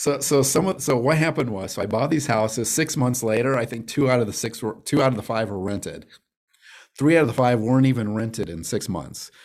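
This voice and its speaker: A man talks at a fairly quick pace with an American accent, in an unremarkable speaking voice of medium pitch and ordinary pitch variation. The recording is very clean, with a silent background. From Arizona, Phoenix. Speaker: real estate investor. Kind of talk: interview.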